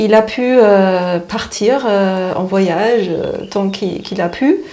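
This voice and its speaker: Speaking at a very slow pace, a woman has a slight German accent and ordinary pitch variation. Room echo is audible. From East Germany. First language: German (speaking French). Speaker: spiritual therapist. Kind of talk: interview. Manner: halting, many hesitations.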